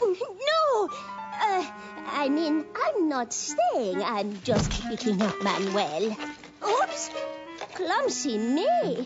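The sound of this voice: A cartoonish character voice at a very slow pace over clear music in the background. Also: female-sounding voice, high pitch for a woman.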